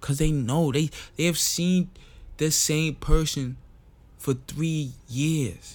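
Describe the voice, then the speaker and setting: Music plays in the background as a man talks in a fairly high pitch. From St. Kitts, Caribbean. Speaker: podcast host. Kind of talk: casual monologue.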